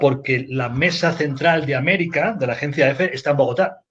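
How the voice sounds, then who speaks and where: Somewhat breathy, a man with a Spanish accent and a fairly high pitch speaks at a moderate pace with ordinary pitch variation. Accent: Spanish accent, still noticeable. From Spain. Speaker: news agency editor. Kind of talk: panel discussion.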